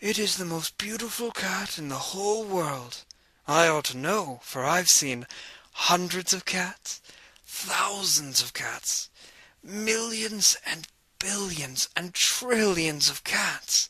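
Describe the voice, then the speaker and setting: A man's put-on character voice, high in pitch, with lively intonation and a fairly slow pace. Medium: read story.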